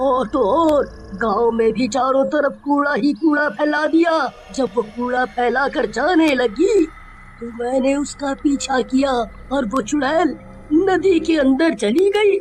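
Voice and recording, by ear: Clear background noise sits behind a high-pitched, cartoonish character voice that moves at a fairly slow pace.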